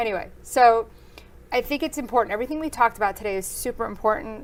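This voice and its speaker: Talking at a very fast pace, a woman speaks. Her pitch is fairly high. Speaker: real estate agent and podcast host. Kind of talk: casual interview.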